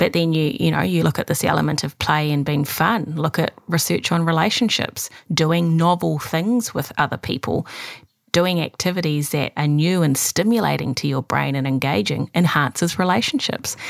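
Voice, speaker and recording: A woman talks at a moderate pace with a very deep, low pitch, lively intonation and very even loudness. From moved countries as a child. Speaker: clinical psychologist and podcast co-host. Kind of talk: casual chat. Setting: video call.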